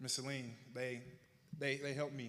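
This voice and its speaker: Speaking in a Southern US accent, a man talks at a fairly quick pace with a medium pitch and fairly even intonation. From Arkansas, US South. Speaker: honoree telling his life story. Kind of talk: public speech, personal testimony. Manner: slightly slurred from retainers.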